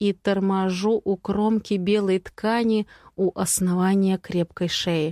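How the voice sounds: Intonation here is fairly even. It is a natural reading voice.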